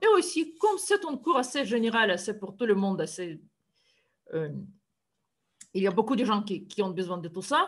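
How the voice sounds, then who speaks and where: A woman with a Russian accent and a somewhat breathy, fairly high voice makes very wide pitch swings and leaves long, frequent pauses. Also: moderate pace. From Siberia, Russia. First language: Russian (speaking French). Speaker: university math lecturer. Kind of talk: lecture. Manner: halting, with frequent hesitations.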